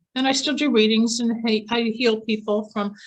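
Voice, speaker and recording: The woman sounds somewhat breathy. Her intonation is monotone and flat. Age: 60s. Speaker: psychic healer and near-death experiencer. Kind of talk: interview testimony. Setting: podcast interview.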